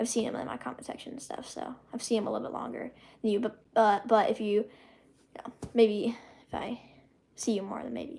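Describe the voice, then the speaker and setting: A woman with a fairly high pitch and a dark, mellow tone speaks at a fairly quick pace, with vocal fry and fairly even intonation. Her loudness swings widely, and long pauses come often. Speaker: YouTuber hosting live stream. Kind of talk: live stream Q&A reading chat. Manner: halting, many fillers.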